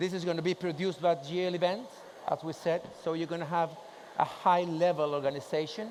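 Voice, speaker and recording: In a Spanish accent, a man speaks at a fairly quick pace with a high pitch and fairly even intonation. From Chile. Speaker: industry association president. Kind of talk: conference presentation with Q&A. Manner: casual, joking.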